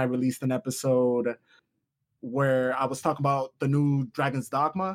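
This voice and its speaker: At a moderate pace and with fairly even intonation, a man talks in a very clean recording with a silent background and a dry, close sound with no echo. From New York, US. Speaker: game reviewer guest. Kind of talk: casual chat. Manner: loud, emotional.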